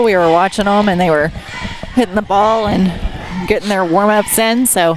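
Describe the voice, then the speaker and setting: Amid noticeable background noise, a woman talks at a fairly quick pace with fairly even intonation. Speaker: color commentator. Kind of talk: live sports commentary. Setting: school gym.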